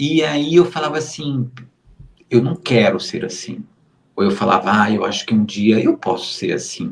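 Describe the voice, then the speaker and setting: A man speaks at a fairly slow pace, pausing long and often. His pitch swings very widely. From Brazil, Recife (Pernambuco). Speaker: modeling agency booker. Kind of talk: interview. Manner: slow, measured; deliberate, clearly explained.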